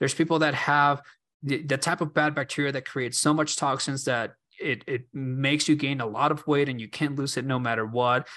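A man speaks at a fairly quick pace with a bright, sharp tone and fairly high pitch. His intonation is fairly even, and the background is quiet. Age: 30s. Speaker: podcast host, health and fermentation enthusiast. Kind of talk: solo podcast monologue. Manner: halting, many repetitions and fillers.

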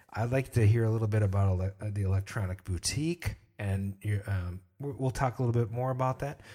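A man speaks at a very fast pace in a somewhat breathy, fairly low voice with ordinary pitch variation, on a very clean recording with a silent background. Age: 40s. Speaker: podcast host. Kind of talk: casual chat. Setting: livestream.

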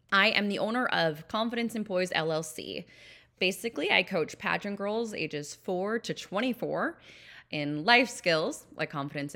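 A woman with an American accent speaks at medium pitch and moderate pace in a bright, sharp tone, with very wide pitch swings, on a very clean recording with a silent background. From Minnesota, US Midwest. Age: 30s. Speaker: podcast host, pageant coach. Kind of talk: podcast trailer monologue.

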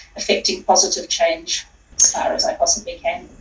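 Over noticeable background noise, a woman with a New Zealand accent talks at a fairly quick pace, her pitch swinging very widely. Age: 40s. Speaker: sustainability consultant. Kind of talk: interview.

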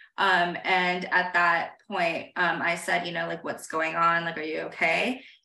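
A woman with an American accent speaks at a fairly slow pace with hardly any pauses, her fairly low voice flat and monotone against audible room echo. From moved a lot: India, Saudi Arabia, various US states. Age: 30s. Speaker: writer and newsletter founder. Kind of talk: casual interview chat.

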